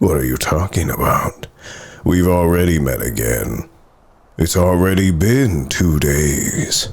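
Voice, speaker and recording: In a put-on character voice, a man delivers lively intonation at a very deep, low pitch, keeping a fairly slow pace and very even loudness. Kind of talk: ASMR roleplay. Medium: solo performance. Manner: commanding, condescending.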